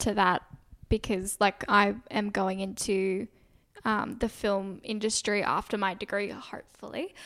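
A woman with an Australian accent in a very clean recording with a silent background. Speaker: podcast co-host, university student. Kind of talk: casual chat.

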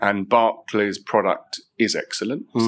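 A man in a London accent, flat and monotone, at a moderate pace. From East London (Isle of Dogs). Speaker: facilities and estate management director. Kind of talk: interview.

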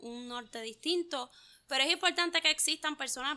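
A woman speaks with a Puerto Rican accent. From Puerto Rico, Juncos. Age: 20s. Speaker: visual artist. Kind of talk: interview.

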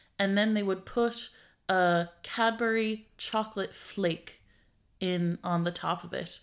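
A woman with an Irish accent speaks at a very slow pace and medium pitch, her intonation fairly even. The recording is very clean, with a silent background. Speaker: tech comedy podcast co-host, programmer. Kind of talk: casual chat.

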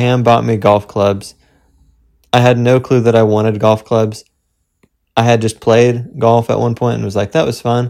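Recorded very cleanly against a silent background, a man speaks in an ordinary speaking voice at a medium pitch with fairly even intonation. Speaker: podcast co-host. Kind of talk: casual chat.

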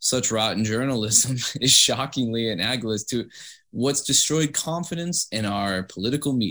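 What you hear is a natural reading voice.

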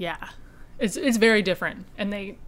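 This woman speaks with an Upper Peninsula Michigan accent. Her pitch is medium and her pace fairly quick. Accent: Upper Peninsula (Yooper). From Upper Peninsula of Michigan. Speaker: podcast host. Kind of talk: casual chat.

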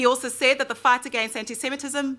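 A woman with a high pitch and a raised, projected voice. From South Africa. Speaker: attorney and human rights activist. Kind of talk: prepared speech at a panel.

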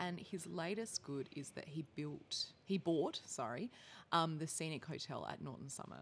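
A woman with an Australian accent, very deep and low in pitch, at a moderate pace with ordinary pitch variation. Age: 30s. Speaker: social entrepreneur. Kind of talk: casual chat.

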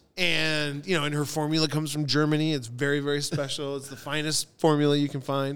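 Talking very fast and hardly pausing, a man with an American accent keeps a fairly high, flat, monotone pitch over noticeable background noise. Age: 40s. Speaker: bartender and restaurateur. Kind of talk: casual chat.

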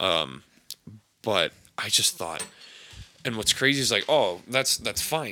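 A man with an American accent, a bright, sharp tone, vocal fry, very wide pitch swings and long, frequent pauses. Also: medium pitch for a man, fairly slow pace. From Wisconsin, Fox Cities area. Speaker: podcast co-host. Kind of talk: casual chat.

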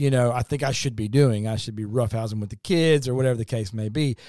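A man with a Southern US accent talks at a fairly quick pace with ordinary pitch variation, on a very clean recording with a silent background. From Kentucky. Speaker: pastor. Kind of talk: casual chat.

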